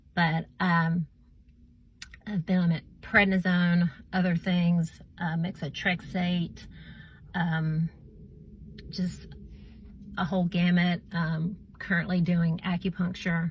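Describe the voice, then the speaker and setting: Very slowly and with long, frequent pauses, a woman speaks in a fairly low, somewhat breathy voice with monotone, flat intonation. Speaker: vlogger sharing health story. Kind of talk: personal testimony. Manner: halting, many fillers.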